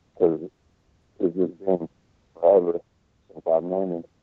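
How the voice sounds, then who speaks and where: Very deep, low male speech with music in the background. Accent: American. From eastern Washington, US. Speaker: guest who played pickup basketball. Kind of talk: casual interview. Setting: remote call.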